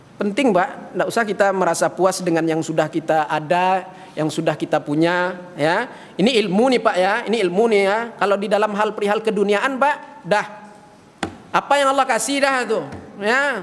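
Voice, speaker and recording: An animated, high-pitched man's voice, with lively intonation and a moderate pace over noticeable background noise. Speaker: Islamic preacher. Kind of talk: sermon. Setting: mosque.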